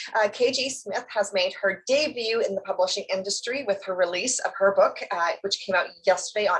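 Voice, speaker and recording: A woman speaks with a Canadian accent at medium pitch. Her pace is fairly quick. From Canada. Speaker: book channel interviewer. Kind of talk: interview. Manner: hesitant, many fillers.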